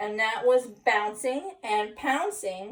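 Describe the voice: What is heard is plain reading aloud.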